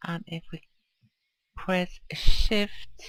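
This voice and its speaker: Someone speaks with a Swedish accent while music plays in the background. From Sweden. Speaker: video game streamer. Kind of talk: gameplay commentary. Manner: casual, hesitant.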